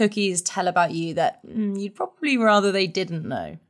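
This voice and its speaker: A woman with an ordinary speaking voice, medium pitch and a moderate pace. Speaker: podcast host and reporter. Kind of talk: casual interview.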